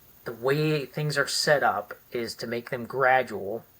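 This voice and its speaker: Fairly even intonation from a medium-pitched man with an American accent, over noticeable background noise. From US Midwest, Cleveland, Ohio. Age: 60s. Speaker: retired military special forces veteran. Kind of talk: interview conversation.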